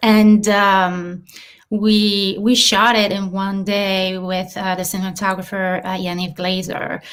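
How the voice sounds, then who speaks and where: A woman with a French accent talks very slowly at a medium pitch. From southern France, Marseille. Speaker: filmmaker and actress. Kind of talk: interview.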